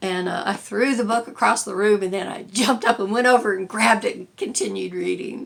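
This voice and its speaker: Noticeable background noise behind a woman speaking at a moderate pace. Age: 60s. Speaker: lifestyle vlogger. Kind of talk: casual chat. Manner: halting, many fillers.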